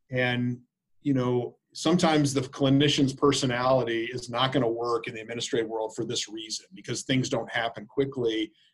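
A man speaks at a medium pitch. His voice is somewhat breathy, with fairly even intonation. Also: fairly quick pace. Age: 40s. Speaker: infectious disease physician and healthcare quality executive. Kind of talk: interview conversation.

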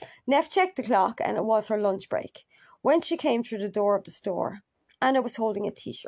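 Lively intonation marks an unforced reading voice set against a quiet backdrop.

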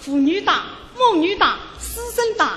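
Raising and projecting her voice over noticeable background noise, a woman with a Shanghainese accent speaks with lively intonation. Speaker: radio host. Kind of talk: live show banter.

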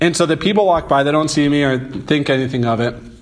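There is audible room echo around this man's voice. He has an American accent and ordinary pitch variation. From St. Louis, Missouri. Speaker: photographer. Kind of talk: interview.

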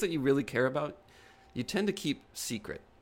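A man's plain, everyday voice, fairly high for a man, with lively intonation at a fairly quick pace. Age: 30s. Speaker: podcast co-host and artist. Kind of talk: casual chat.

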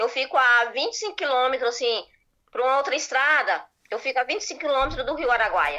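A woman's high, raised and projected voice, bright and sharp in tone, with lively intonation at a moderate pace. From rural Goiás, Brazil. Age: 40s. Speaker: viewer calling in. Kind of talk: casual conversation. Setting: video call.

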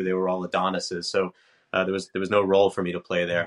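With an American accent, a man speaks at a very deep, low pitch in a monotone, flat intonation. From New York. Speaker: tech company president and home builder. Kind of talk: podcast interview. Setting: remote call.

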